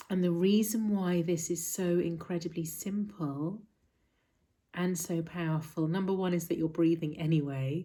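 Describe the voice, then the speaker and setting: A soft-spoken woman with a fairly low voice, a calm tone, fairly even intonation, very even loudness and a moderate pace. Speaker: mindfulness teacher. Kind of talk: talk to camera explaining mindfulness. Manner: soft-spoken, calm.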